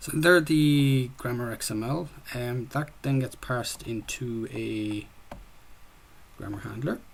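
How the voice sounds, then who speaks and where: An Irish-accented man speaks at a very slow pace, somewhat breathy, with long, frequent pauses. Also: medium pitch for a man, ordinary pitch variation. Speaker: student developer presenting a game project. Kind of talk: software project demo presentation. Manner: casual, with frequent fillers.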